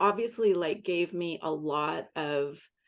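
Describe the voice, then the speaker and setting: Fairly slow delivery in an unremarkable speaking voice, its pitch shifting in an ordinary way. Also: woman. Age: 60s. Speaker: art business advisor. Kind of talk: interview.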